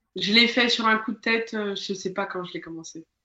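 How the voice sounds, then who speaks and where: Her pitch is fairly high, with ordinary pitch variation. The woman speaks at a moderate pace. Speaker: board game social media creator. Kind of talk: interview. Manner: halting; hesitant.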